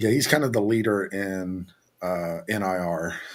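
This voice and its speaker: In a Southern accent, a man talks at a fairly slow pace. His fairly low voice keeps a fairly even intonation. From US South, Virginia. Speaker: business owner, oven maker. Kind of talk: casual chat. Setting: studio. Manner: halting, repeats words.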